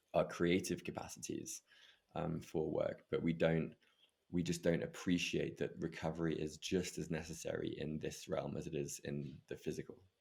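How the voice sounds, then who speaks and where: A man talks at a moderate pace with an English accent. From England. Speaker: breathwork facilitator and meditation coach. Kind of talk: interview conversation.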